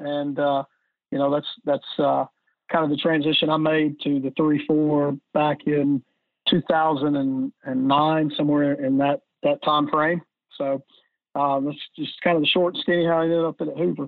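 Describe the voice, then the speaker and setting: In an Alabama accent, a man speaks at a fairly slow pace, his fairly high pitch carrying monotone, flat intonation. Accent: US Southern (Alabama). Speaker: high school football defensive coordinator. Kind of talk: technical coaching interview. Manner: halting, many fillers.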